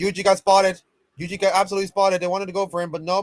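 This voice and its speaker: A man mumbles in an animated tone at a high pitch. The sound is dry and close, with no echo. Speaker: streamer casting esports VOD review. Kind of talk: live commentary. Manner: mumbling.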